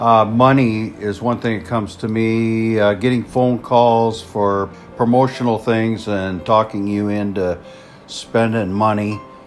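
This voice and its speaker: Music plays in the background as a man talks fairly slowly at a medium pitch in a monotone, flat intonation. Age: 60s. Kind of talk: interview testimony. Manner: halting, many fillers.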